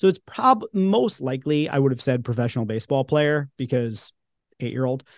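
Against a quiet background, a man with a slight New York accent talks at a fairly quick pace in a dry, close sound with no echo. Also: medium pitch for a man, ordinary pitch variation. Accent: non-regional, barely New York. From Long Island, New York. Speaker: podcast host and creator, interviewed this episode. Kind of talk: casual interview chat.

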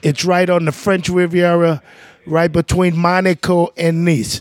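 A man with a New Orleans accent speaks at a moderate pace in a high pitch. His intonation is fairly even and his loudness very even. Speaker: jazz trumpeter and band leader. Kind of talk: casual interview chat.

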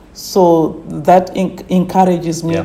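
A woman's fairly low, monotone, flat voice at a very slow pace, with noticeable background noise. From Zimbabwe, village near Harare. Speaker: tourism company manager. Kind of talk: interview. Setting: her office, remote call.

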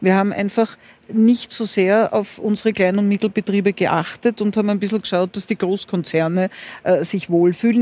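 With a dark, mellow tone at a medium pitch, a woman speaks at a fairly quick pace, the sound dry and close with no echo. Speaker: former health minister, intensive care doctor.

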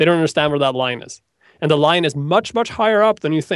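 Over a quiet background, a man with a Norwegian accent speaks at a fairly high pitch with lively intonation, the sound dry and close with no echo. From Norway. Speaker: web developer and online instructor. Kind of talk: interview. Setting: video call.

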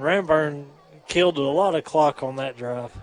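A man with a fairly high pitch. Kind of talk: live color commentary alongside play-by-play, coach's analysis. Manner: earnest, casual, analytical; halting with filler and restarts.

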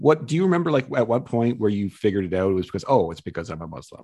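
A fairly low, dark and mellow male voice, very fast, with very wide pitch swings. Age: 40s. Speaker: podcast host. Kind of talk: casual interview.

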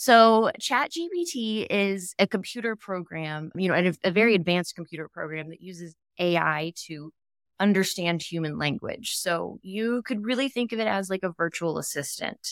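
An ordinary speaking voice from a woman with an American accent, medium pitch, ordinary pitch variation, moderate pace and big swings in loudness, dry and close with no echo on a very clean recording with a silent background. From Texas. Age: 30s. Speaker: POTS patient. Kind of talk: casual interview chat.

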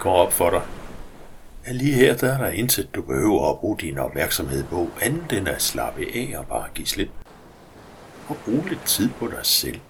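A man's soothing, calm delivery, fairly slow, broken by long, frequent pauses. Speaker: hypnosis guide. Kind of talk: guided meditation. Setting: recorded audio for headphones. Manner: slow, soothing, calm; gentle, hypnotic, with long pauses.

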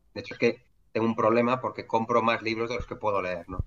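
His pitch is medium. The man's intonation is monotone and flat. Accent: Madrid. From Madrid, Spain. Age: 40s. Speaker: entrepreneur. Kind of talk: interview conversation. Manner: halting, many fillers and repetitions.

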